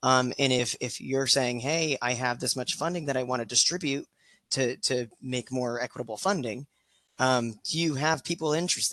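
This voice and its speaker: The speaker is a man with a bright, sharp tone. His pitch varies in an ordinary way. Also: medium pitch for a man, moderate pace, dry, close sound with no echo, quiet background. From Guatemala. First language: Spanish. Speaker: equity facilitator. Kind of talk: online meeting discussion. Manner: halting, many repetitions and fillers.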